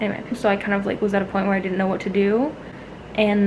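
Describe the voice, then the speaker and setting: The voice has a tired tone, with light background noise. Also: woman. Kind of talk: casual vlog chat. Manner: tired, slow speech from a hospital bed. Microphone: phone near.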